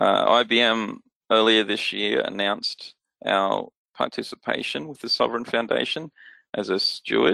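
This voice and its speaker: Here a man speaks in an Australian accent at a fairly slow pace. The sound is dry and close, with no echo. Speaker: security technology expert. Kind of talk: interview.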